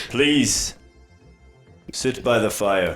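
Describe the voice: A booming, put-on character voice from a man at medium pitch, with faint music in the background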